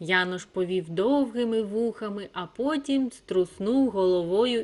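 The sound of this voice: Here the voice reads aloud without any forcing.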